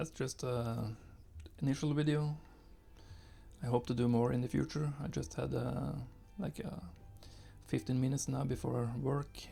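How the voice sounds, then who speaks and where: Music plays in the background as a man speaks at a moderate pace with long, frequent pauses. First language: not English. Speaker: gaming youtuber. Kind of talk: gameplay commentary. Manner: halting, many fillers. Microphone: new recording setup after software crash.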